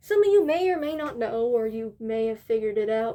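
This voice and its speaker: This voice has a dark, mellow tone and an American accent. It moves at a fairly quick pace with very wide pitch swings. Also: woman. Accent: sounds American to listeners. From Northern Ireland. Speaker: YouTuber. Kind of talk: casual Q&A monologue. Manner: casual, rambling with fillers.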